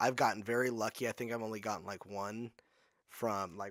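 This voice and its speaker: Speaking at a fairly quick pace, a man with a fairly low pitch holds a monotone, flat intonation in a very clean recording with a silent background. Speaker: podcast guest. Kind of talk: casual interview chat.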